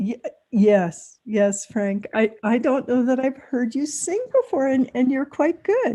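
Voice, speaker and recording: Speaking at a fairly slow pace, a woman has a high pitch, lively intonation and a dark, mellow tone. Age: 60s. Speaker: town board meeting chair. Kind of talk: casual chat before a public meeting.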